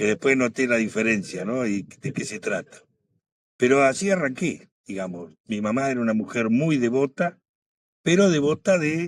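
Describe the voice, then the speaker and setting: A man talks with lively intonation. His pitch sits in the medium range. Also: moderate pace. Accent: Rioplatense. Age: 70s. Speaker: guest telling his faith testimony. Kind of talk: testimony.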